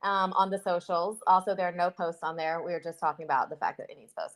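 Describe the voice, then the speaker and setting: A woman talks with a Southern US accent. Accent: Southern US, shows in some words. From US South. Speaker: podcast co-host. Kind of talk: casual chat.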